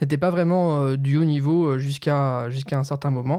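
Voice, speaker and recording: A man with a dark, mellow tone and fairly even intonation is heard on a very clean recording with a silent background. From France, Nancy (Lorraine). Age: 20s. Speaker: esports analyst. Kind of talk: interview. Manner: hesitant, many fillers.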